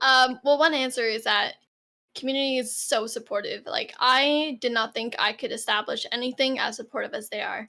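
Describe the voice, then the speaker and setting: On a very clean recording with a silent background, a woman uses a raised, projected voice that is high in pitch and bright and sharp in tone, at a moderate pace with ordinary pitch variation. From Canada, Toronto. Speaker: streamer. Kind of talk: interview.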